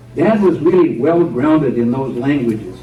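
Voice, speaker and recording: Moderate pace and ordinary pitch variation against noticeable background noise. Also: man. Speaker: retired pastor and storyteller giving a historical talk. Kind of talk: church history talk. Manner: storytelling, measured.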